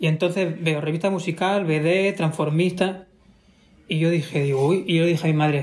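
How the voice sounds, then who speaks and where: A man talks at a moderate pace in a high voice, with fairly even intonation and very even loudness. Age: 20s. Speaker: drag performer. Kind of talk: casual chat.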